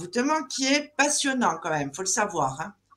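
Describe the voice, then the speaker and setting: A woman with very wide pitch swings at a moderate pace. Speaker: live show moderator. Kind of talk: live interview show.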